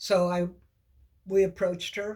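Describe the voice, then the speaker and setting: A somewhat breathy woman's voice with monotone, flat intonation. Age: 70s. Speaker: woman sharing personal abortion story. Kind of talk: personal testimony.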